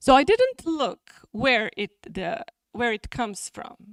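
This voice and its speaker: A woman with a Serbian accent speaks at a very slow pace. The recording is very clean with a silent background and a dry, close sound with no echo. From Serbia (Niš). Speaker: journal editor and academic. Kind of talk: conference talk. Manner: halting.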